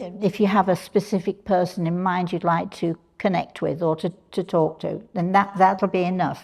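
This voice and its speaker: A fairly slow pace with a British accent and a dark, mellow tone. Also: woman. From England. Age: old. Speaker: spiritual medium. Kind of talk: live workshop talk to audience. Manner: casual, chatty with hesitations.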